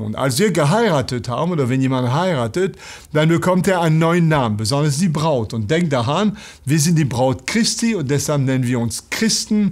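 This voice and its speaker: A man with a French accent speaks with lively intonation against a quiet background. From France. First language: French (speaking German). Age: 60s. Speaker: pastor. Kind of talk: bible teaching talk; lecture. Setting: online video. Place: studio.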